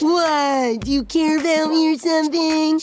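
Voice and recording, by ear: In a cartoonish character voice, a female-sounding speaker talks at a moderate pace with an extremely high pitch.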